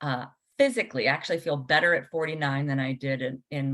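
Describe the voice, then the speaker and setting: A woman speaks with a very deep, low pitch. Her intonation stays fairly even. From Washington, D.C., US. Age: 40s. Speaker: podcast host and spiritual coach. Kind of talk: casual interview.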